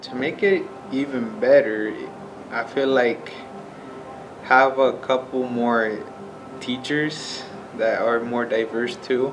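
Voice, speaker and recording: A very slow man's voice at medium pitch with a Spanish accent, ordinary pitch variation and long, frequent pauses, amid audible room echo and music in the background. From Nebraska, US. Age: 18. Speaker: welding student. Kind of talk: personal interview testimony. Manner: casual, hesitant with fillers.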